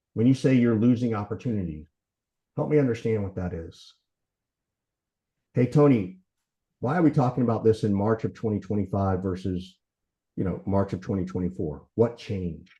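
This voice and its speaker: A man's fairly low, somewhat breathy voice, dark and mellow in tone, with long, frequent pauses. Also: lively intonation. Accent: American. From US South, Macon, Georgia. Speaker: sales consultant. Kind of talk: lecture. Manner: fast.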